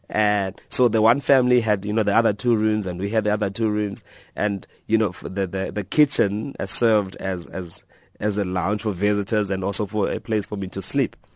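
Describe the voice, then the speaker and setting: In a South African accent, the speaker moves at a fairly quick pace with fairly even intonation over a quiet background. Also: man, fairly low pitch for a man. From South Africa, Eastern Cape. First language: Xhosa. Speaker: author and blogger. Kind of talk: radio interview.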